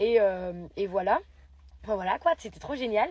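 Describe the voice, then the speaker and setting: A woman talks at a fairly quick pace in a fairly high pitch. Her tone is animated and her intonation lively. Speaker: poet and writing workshop leader. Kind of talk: casual vlog. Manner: fast.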